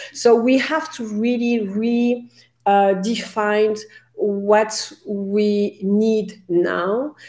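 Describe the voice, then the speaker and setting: A woman's fairly high-pitched voice, dark and mellow in tone, in a French accent, with fairly even intonation and a very slow pace. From France. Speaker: career coach. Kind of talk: interview.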